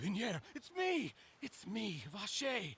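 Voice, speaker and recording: A man uses a put-on character voice pitched high. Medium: video game. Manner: desperate, emotional.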